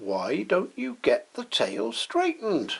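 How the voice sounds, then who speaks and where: A man talks in a put-on character voice at a fairly slow pace. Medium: read story.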